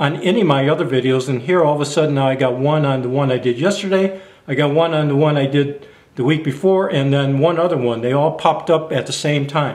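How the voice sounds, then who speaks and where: Audible room echo surrounds a man speaking at a fairly quick pace in a fairly high pitch. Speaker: YouTube camping and gear vlogger. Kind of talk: casual monologue vlog. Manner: halting, stammers sometimes.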